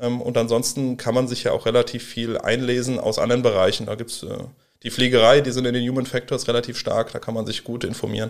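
A man talks very quickly, his medium-pitched voice staying flat and monotone throughout. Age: 30s. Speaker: professional firefighter. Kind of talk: interview.

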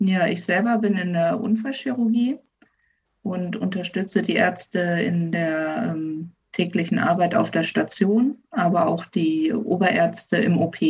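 A woman talks at a fairly slow pace in a somewhat breathy voice of medium pitch with ordinary pitch variation. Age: 20s. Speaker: physician assistant. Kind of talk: interview. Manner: hesitant, many fillers.

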